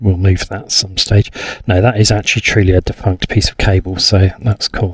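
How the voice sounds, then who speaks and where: Fairly low in pitch and somewhat breathy, a man speaks at a moderate pace. His intonation is fairly even, and the sound is dry and close with no echo. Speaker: gaming youtuber. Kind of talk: let's play commentary. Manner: casual.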